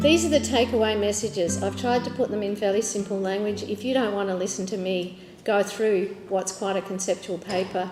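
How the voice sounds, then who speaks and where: A woman's medium-pitched voice over background music, fairly quick with fairly even intonation and hardly any pauses. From Australia. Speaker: social work professor. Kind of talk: conference presentation.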